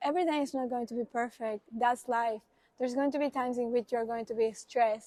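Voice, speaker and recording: Heard in dry, close sound with no echo, a speaker with a Spanish accent talks at a fairly quick pace with a dark, mellow tone and fairly even intonation. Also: woman. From Uruguay. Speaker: international student. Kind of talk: interview.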